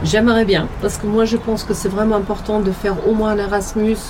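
A speaker with a German accent talks at a fairly quick pace and very even loudness. Noticeable background noise and audible room echo fill the recording. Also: woman. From Germany. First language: German (speaking French). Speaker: hotel worker. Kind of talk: interview. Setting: outdoors.

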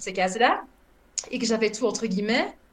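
A woman talks fairly quickly at a fairly high pitch, with noticeable background noise around her. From Belgium. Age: 30s. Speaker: former social worker who emigrated. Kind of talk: interview.

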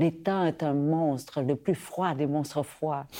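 In a very clean recording with a silent background, a woman speaks very slowly with a very deep, low pitch, a dark, mellow tone and fairly even intonation. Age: 50s. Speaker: podcast host. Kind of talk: interview.

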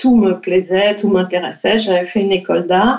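A woman's voice at a medium pitch. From France. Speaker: children's author and illustrator. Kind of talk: interview. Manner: halting, many repetitions.

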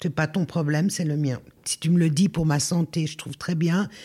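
Somewhat breathy with a dark, mellow tone, the voice keeps a moderate pace and fairly even intonation on a very clean recording with a silent background. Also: woman. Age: 60s. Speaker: former social worker and risk manager. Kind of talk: casual chat.

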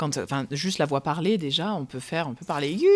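The recording is very clean, with a silent background. A woman speaks at a moderate pace with lively intonation. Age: 20s. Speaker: opera singer. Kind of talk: interview. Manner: halting.

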